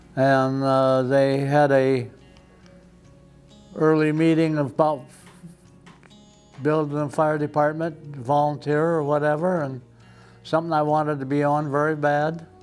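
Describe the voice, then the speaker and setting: With music in the background, a man at a fairly high pitch speaks in a flat monotone at a fairly slow pace, with long, frequent pauses. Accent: American. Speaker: retired fire chief. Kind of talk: oral history interview answer.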